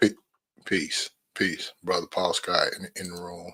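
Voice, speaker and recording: On a very clean recording with a silent background and a dry, close sound with no echo, a man speaks with a North Carolina accent. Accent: Southeast North Carolina, country. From US South, southeast North Carolina. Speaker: podcast host. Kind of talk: solo livestream podcast talk. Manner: hesitant, many fillers.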